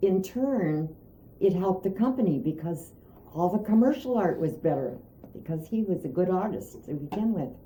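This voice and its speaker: A woman with an Inland North accent, somewhat breathy, with lively intonation and a dark, mellow tone. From Pennsylvania, Erie. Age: 80s+. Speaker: artist and art teacher. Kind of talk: interview. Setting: at home.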